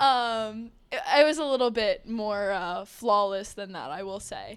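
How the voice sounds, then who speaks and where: With an American accent and a plain, everyday voice, a woman speaks at a fairly high pitch with ordinary pitch variation. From New Jersey. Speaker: engineering student, club officer. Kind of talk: casual chat.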